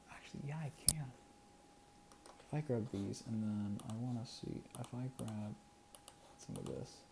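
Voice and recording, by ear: Someone is whispering at a fairly slow pace, with vocal fry.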